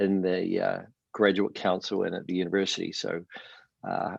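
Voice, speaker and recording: Against a quiet background, a man speaks with a New Zealand accent. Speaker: professor. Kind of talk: panel town hall introduction.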